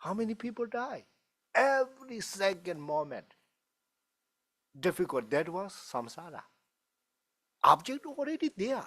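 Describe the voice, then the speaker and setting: With a Tibetan accent and high pitch, a man speaks at a fairly slow pace with very wide pitch swings and long, frequent pauses, in a dry, close sound with no echo. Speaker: Buddhist teacher. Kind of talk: dharma talk Q&A. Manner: halting.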